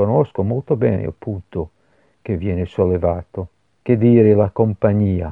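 In a Scottish accent, a man with a very deep, low pitch talks at a fairly slow pace, using ordinary pitch variation. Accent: foreign (Scottish) accent in Italian. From Scotland, Glasgow. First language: English (speaking Italian). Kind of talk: religious meditation. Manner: halting.

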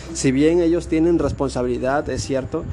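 Over noticeable background noise and audible room echo, a man speaks at a moderate pace in a monotone, flat intonation. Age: 20s. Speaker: motivational podcaster. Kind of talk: motivational monologue. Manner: casual, halting with repetitions.

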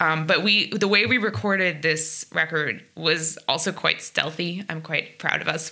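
A woman with an American accent and a fairly low pitch speaks against noticeable background noise. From US, New Jersey (South Orange). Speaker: jazz trumpet player. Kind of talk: casual interview.

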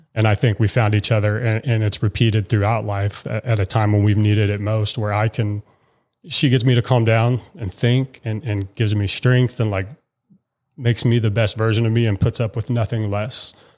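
A man uses an ordinary speaking voice at a fairly low pitch and a moderate pace, with fairly even intonation. The recording is very clean, with a silent background. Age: 30s. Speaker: podcast guest, husband and father. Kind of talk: casual chat.

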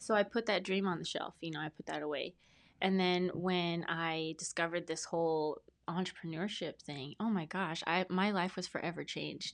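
A woman with an American accent talks at a moderate pace, with fairly low pitch and fairly even intonation, against a quiet background. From Lancaster, Antelope Valley, California. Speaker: brand specialist. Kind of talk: casual interview. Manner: calm.

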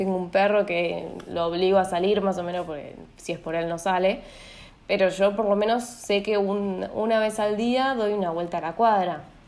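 Audible room echo surrounds a woman who talks at a moderate pace with fairly even intonation. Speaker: psychologist. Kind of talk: interview on a podcast.

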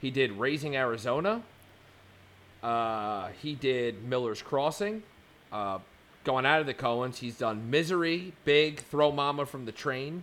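A man talks in a normal speaking voice at a fairly slow pace. His pitch is medium and his intonation lively. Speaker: podcast host. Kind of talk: casual chat.

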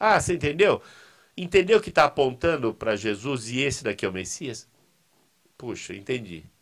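Long, frequent pauses break up a man's moderate-paced speech, which has very wide pitch swings. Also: medium pitch for a man. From Brazil, São Paulo city. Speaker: seminary professor. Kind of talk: casual interview. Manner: halting, repetitive.

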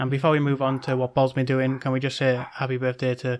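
At a very fast pace, a man with a British accent talks at a medium pitch. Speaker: podcast co-host. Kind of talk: casual chat.

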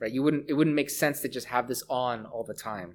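A man with a Canadian accent has a normal speaking voice at a medium pitch with ordinary pitch variation, captured in a very clean recording with a silent background. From Canada, Hamilton, Ontario. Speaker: professor and researcher. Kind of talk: interview.

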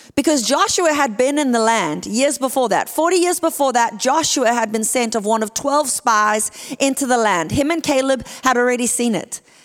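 Over noticeable background noise, a woman with a South African accent speaks in a high pitch with lively intonation. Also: moderate pace, very even loudness. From South Africa (Port Elizabeth). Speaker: guest preacher. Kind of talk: sermon. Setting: church.

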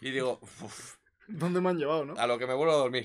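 In a very clean recording with a silent background, a man speaks with lively intonation. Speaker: podcast co-host. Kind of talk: casual chat. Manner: soft-spoken.

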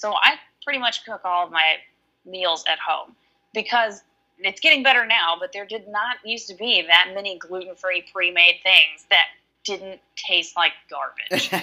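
A woman with a Southern US accent speaks at a medium pitch and a moderate pace, with ordinary pitch variation. Her tone is bright and sharp, and her loudness swings widely. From Alabama. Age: 30s. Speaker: online coaching client. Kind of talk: casual chat.

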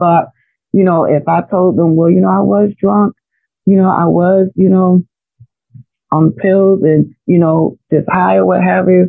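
A woman talks at a moderate pace in an ordinary speaking voice. Her pitch is fairly low. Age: 40s. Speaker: faith-based life coach and evangelist. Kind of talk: testimony.

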